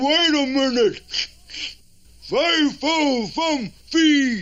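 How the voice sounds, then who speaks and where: In a cartoonish character voice, a man speaks at an extremely high pitch and a very slow pace. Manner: blustering, bossy.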